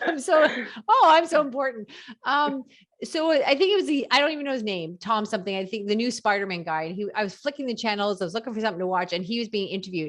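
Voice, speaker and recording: A woman at a very fast pace with a fairly high pitch, very wide pitch swings and an animated tone, against a quiet background. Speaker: podcast host. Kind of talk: casual interview.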